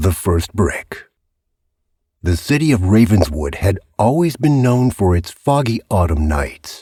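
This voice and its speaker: This man's voice is somewhat breathy and swings very widely in pitch. His pace is fairly slow. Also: very clean recording, silent background. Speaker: voice actor. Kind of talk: audiobook narration, suspense thriller. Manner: gripping, suspenseful.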